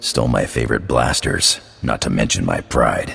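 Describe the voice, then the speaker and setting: A man does a put-on character voice that is gruff. He speaks at a moderate pace. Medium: video game. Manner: gruff, casual slang.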